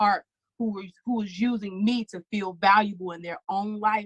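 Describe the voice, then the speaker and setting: A woman's somewhat breathy, animated voice at medium pitch and moderate pace, in a dry, close sound with no echo. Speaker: singer, speaker and author. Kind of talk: casual chat.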